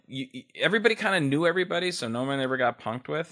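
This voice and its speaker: With a Californian accent, a man speaks in a bright, sharp tone with lively intonation on a very clean recording with a silent background. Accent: Californian American. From Los Angeles (West LA). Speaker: radio DJ. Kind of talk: casual interview chat.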